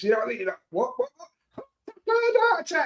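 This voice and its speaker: With a British accent and lively intonation, a man speaks at a fairly quick pace in a dry, close sound with no echo. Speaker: football fan streamer. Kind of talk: casual chat. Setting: live stream.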